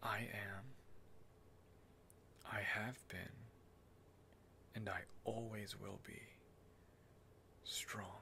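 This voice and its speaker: Whispering in a gentle tone, a man leaves long, frequent pauses. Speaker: ASMR performer. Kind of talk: ASMR reiki role-play, guiding the listener through affirmations. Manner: soft, gentle, slow-paced. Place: home room. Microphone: studio mic.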